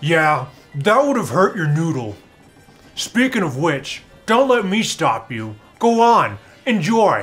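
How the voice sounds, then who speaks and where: A man's high-pitched, cartoonish character voice with very wide pitch swings, a fairly slow pace and long, frequent pauses, over faint background music. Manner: playful, punning, friendly.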